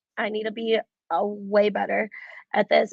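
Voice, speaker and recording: An American-accented woman in a plain, everyday voice, fairly high in pitch, with ordinary pitch variation at a moderate pace. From US Midwest, Cleveland, Ohio. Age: 20s. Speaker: athlete and fitness coach. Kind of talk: interview conversation.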